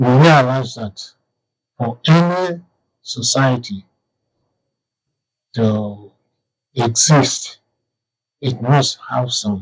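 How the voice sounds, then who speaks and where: Very slowly, with long, frequent pauses, a man speaks in a somewhat breathy voice at medium pitch with ordinary pitch variation. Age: 80s+. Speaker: author and historian. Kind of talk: interview answer.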